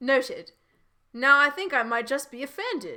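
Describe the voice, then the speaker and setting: A woman speaks in a put-on character voice with a British accent. Her pitch is high and her pace is moderate. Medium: read story. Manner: proper, polite.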